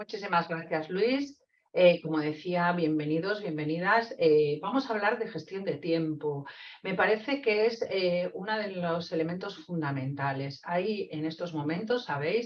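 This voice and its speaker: Speaking at a fairly slow pace, a woman uses lively intonation over a fairly low pitch. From Spain, Castile (Zamora). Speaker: psychologist and trainer. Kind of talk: webinar lecture. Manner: hesitant, many fillers.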